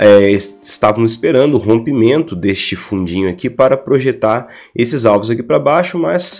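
A man at medium pitch speaks at a moderate pace with lively intonation while music plays in the background. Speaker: stock market technical analyst. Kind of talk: market analysis talk to screen.

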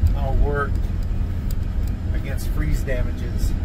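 A man talks fairly slowly while loud background noise carries on behind him. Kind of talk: casual vlog chat. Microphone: phone near.

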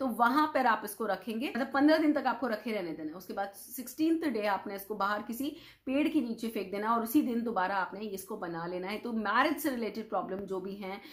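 Against a quiet background, a woman speaks in an animated tone with lively intonation, a fairly high pitch and a somewhat breathy voice, moving at a moderate pace with hardly any pauses. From India. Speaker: vastu consultant, video host. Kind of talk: tutorial. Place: home room. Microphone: lapel.

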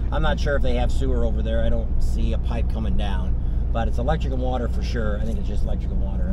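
A man speaks over loud background noise. The sound is dry with no echo. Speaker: vlog host. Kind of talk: casual vlog chat. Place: car. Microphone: camera far.

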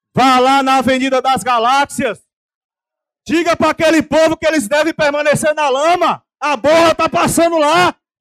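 This man's voice sits extremely high in pitch, and its loudness stays very even. The background is quiet. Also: moderate pace. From Brazil, Bahia (Teixeira de Freitas); Bahia, Brazil. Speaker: city councillor. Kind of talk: political speech. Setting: council chamber with audience. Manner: animated. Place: hall. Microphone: podium.

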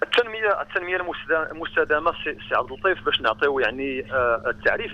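Dry sound with no echo carries a man's voice. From Morocco. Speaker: sports science academic. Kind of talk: radio interview. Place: studio.

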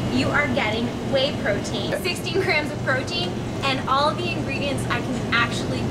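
Loud background noise fills the clip. Through it, a woman speaks at a moderate pace. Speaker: presenter. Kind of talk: product review chat. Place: shop. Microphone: camera far.

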